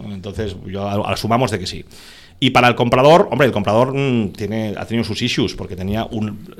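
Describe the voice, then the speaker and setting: With ordinary pitch variation, an unremarkable speaking voice goes along at a fairly quick pace. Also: man. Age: 50s. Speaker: business executive and investor. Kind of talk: podcast interview.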